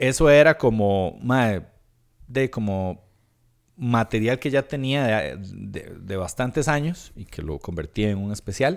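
On a very clean recording with a silent background, a man with a Costa Rican accent speaks at a fairly slow pace and medium pitch, his intonation lively and his loudness swinging widely. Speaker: stand-up comedian and podcaster. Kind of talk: casual interview chat.

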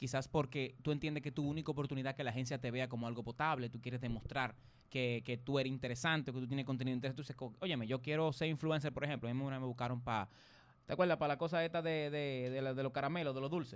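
The delivery is very fast with fairly even intonation, on a very clean recording with a silent background. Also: man, medium pitch for a man. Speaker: online show host. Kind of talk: casual chat.

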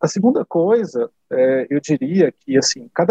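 A man speaks at a high pitch in a dark, mellow tone with very wide pitch swings. The sound is dry and close, with no echo. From Brazil. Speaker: HR software consultant. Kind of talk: interview conversation.

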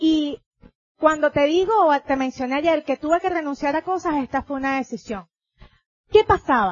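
A woman with a Venezuelan accent, high in pitch, animated in tone and lively in intonation, at a moderate pace with long, frequent pauses. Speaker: motivational speaker, network marketing leader. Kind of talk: convention talk.

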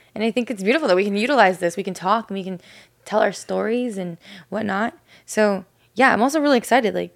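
The speech comes at a very fast pace. Its pitch varies in an ordinary way. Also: woman, big swings in loudness. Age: 20s. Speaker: church worship leader and podcast co-host. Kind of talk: casual chat. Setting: studio, seated on a couch.

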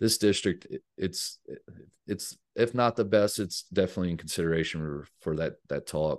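In a quiet background, a man with a very deep, low pitch talks at a moderate pace with ordinary pitch variation. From New Orleans (Algiers, West Bank), moved to Texas as a teen. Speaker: high school soccer coach. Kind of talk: casual interview.

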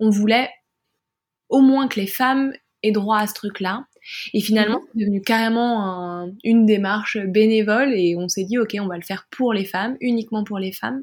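Speaking at a moderate pace, a woman with a somewhat breathy, fairly high voice keeps her intonation fairly even on a very clean recording with a silent background. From France. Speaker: adult audio performer and podcaster. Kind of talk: interview conversation.

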